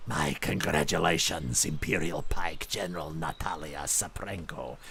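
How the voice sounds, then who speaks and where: Using a put-on character voice with a very deep, low pitch, a man speaks at a moderate pace against light background noise. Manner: formal, congratulatory.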